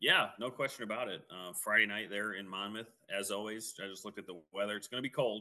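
With a Midwestern US accent, a man talks at a very fast pace and a fairly low pitch. His tone is bright and sharp, his intonation fairly even. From Quad Cities area. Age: 30s. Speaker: podcast co-host, football analyst. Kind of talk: casual sports podcast chat.

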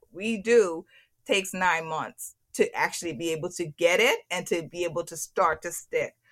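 A woman talks at a moderate pace in a bright, sharp tone. The recording is very clean, with a silent background. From Turks and Caicos. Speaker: HR consultant. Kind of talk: interview.

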